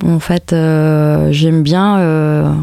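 A woman talks with a very deep, low pitch. Her intonation is fairly even. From Spain, Madrid. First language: Spanish (speaking French). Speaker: musician. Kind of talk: interview monologue. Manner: hesitant, many fillers.

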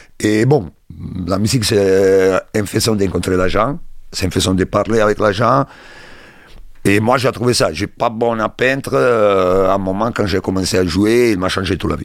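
A man with a fairly low pitch and ordinary pitch variation moves at a moderate pace, leaving long, frequent pauses. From Italy, Rome. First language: Italian (speaking French). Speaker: bassist and music producer. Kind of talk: interview monologue. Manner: halting.

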